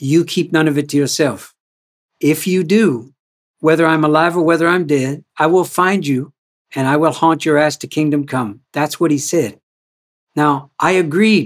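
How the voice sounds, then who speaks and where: Moving at a moderate pace, a plain, everyday voice carries ordinary pitch variation. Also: man, fairly high pitch for a man. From Canada. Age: 60s. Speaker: author and culture activist. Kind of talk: reflective interview conversation. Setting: video call.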